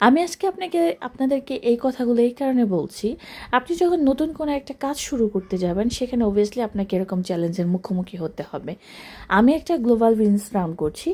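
With a Bangladeshi accent, a woman speaks at a fairly high pitch that swings very widely. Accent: Bangladeshi Bengali. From Bangladesh (rural). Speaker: business mentor and coach. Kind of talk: motivational talk to camera.

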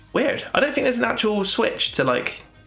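A man with a British accent speaks over noticeable background noise. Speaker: gaming YouTuber. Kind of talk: gameplay commentary. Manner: casual, thinking aloud with fillers.

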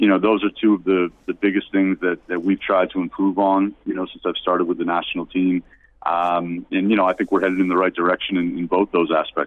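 Hardly pausing, a man races along at a very fast pace in a very deep, low voice with monotone, flat intonation. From United States. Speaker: basketball coach. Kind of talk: interview.

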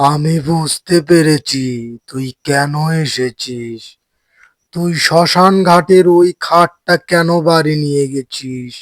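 This cartoonish character voice moves at a very slow pace with fairly even intonation, in a dry, close sound with no echo. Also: man, fairly high pitch for a man. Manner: authoritative, solemn.

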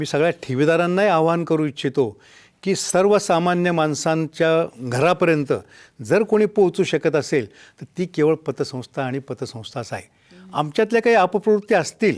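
Recorded very cleanly against a silent background, a man speaks with a high pitch and lively intonation. The sound is dry and close, with no echo. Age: 70s. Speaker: cooperative federation president. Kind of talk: TV interview. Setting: studio. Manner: earnest, impassioned.

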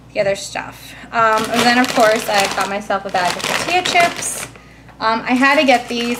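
The intonation is lively. Noticeable noise sits in the background. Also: woman. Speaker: vlogger. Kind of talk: casual vlog chat. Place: kitchen. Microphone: phone near.

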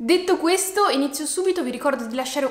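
At a fairly quick pace, a woman talks amid audible room echo. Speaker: book vlogger. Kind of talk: casual vlog chat. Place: home room.

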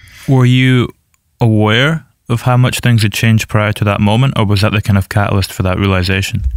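Speaking at a fairly quick pace, a man uses an ordinary speaking voice with very even loudness and ordinary pitch variation. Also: fairly low pitch for a man. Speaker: podcast host. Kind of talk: interview.

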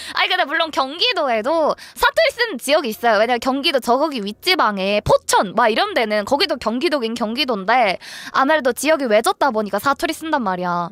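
Music plays in the background as a woman with a high pitch speaks in a dry, close sound with no echo. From Ansan, Gyeonggi Province, South Korea. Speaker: live streamer. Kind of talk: casual livestream talk to viewers.

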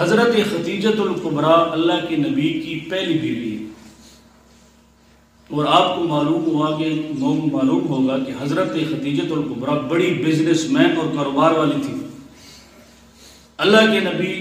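Audible room echo surrounds a man's voice. His pitch is fairly high, with ordinary pitch variation. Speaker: Islamic scholar giving a sermon. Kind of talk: Islamic sermon (bayan) in Urdu.

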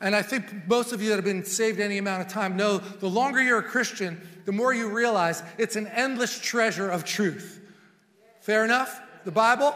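A man speaks in a raised, projected voice. His intonation is fairly even and his pace moderate. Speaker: preacher. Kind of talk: sermon. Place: church. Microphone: lapel.

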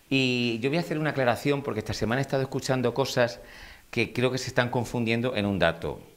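The recording is very clean, with a silent background. A man speaks at medium pitch and a very fast pace. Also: ordinary pitch variation. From Murcia, Spain. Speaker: celebrity news commentator. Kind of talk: casual chat.

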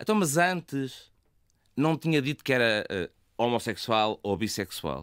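A medium-pitched man, pitch swinging very widely, with long, frequent pauses. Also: dry, close sound with no echo, very clean recording, silent background. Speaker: university professor and LGBT association president. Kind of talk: radio interview.

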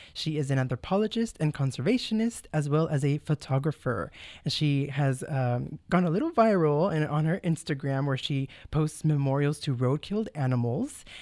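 A man speaks in an enthusiastic tone at a fairly high pitch with ordinary pitch variation. His pace is moderate, and the background is quiet. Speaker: radio host. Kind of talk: interview. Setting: studio. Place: studio.

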